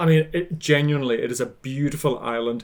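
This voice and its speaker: A man with a Hebridean Scottish accent speaks at a fairly high pitch. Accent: Hebridean Scottish, Highland lilt. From Scotland, Outer Hebrides (Isle of Lewis). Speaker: baker and social media cook. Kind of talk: casual interview chat.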